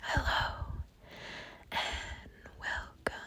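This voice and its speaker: The voice is a whisper. Background noise can be noticeably heard. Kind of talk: ASMR conversational whisper. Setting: outdoors. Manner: whispered; hesitant, many filler words.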